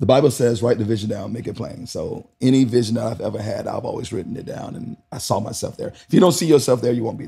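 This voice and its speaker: A man with an American accent, very fast and nearly pause-free, animated in tone, with big jumps in loudness. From not New York. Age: 40s. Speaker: dancer and choreographer. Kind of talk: casual chat. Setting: on location interview.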